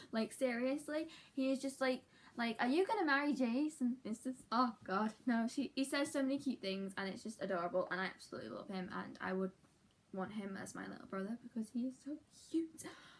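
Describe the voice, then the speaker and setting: A woman's high-pitched voice with a British accent, lively intonation and a fairly quick pace. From UK. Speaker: book vlogger. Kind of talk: casual vlog talk. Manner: fast; animated.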